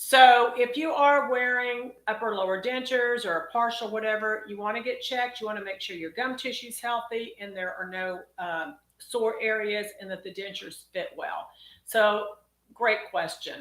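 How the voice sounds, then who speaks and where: A woman with a Texas accent at a moderate pace. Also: ordinary pitch variation. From Texas, College Station. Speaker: dentist. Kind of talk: live Q&A stream. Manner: casual, chatty.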